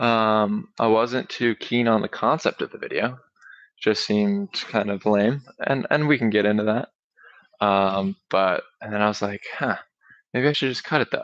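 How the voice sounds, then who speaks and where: A man speaks at a moderate pace and medium pitch, with a dry, close sound and no echo. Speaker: talk show host. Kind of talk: solo livestream talk. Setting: livestream. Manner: monotone; casual, hesitant.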